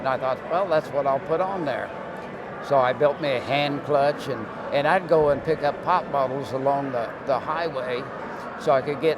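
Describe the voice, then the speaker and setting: Audible room echo and noticeable background noise surround a man speaking at a moderate pace with fairly even intonation. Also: fairly high pitch for a man. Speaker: retired land speed racer. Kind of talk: interview. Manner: halting.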